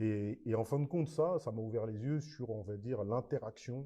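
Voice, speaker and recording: At a moderate pace, a man speaks in a dark, mellow tone with medium pitch and ordinary pitch variation. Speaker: basketball coach. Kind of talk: podcast interview. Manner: animated.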